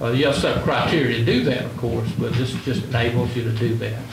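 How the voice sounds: Amid audible room echo and clear background noise, a man speaks in a medium pitch with fairly even intonation.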